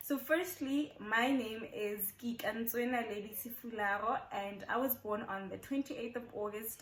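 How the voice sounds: The delivery comes at a fairly slow pace with a fairly bright tone and ordinary pitch variation. Room echo is audible. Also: woman, fairly high pitch for a woman.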